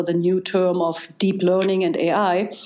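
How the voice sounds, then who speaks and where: A woman's medium-pitched voice at a fairly slow pace, with audible room echo. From East Germany. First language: German. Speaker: data scientist. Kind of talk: interview. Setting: podcast.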